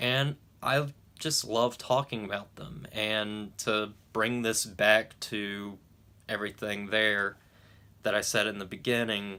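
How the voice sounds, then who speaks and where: In a very clean recording with a silent background, a man mumbles at a very slow pace, his fairly low voice bright and sharp in tone with fairly even intonation. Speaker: YouTube movie reviewer. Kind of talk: casual vlog talk to camera. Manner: stuttering, halting; mumbling.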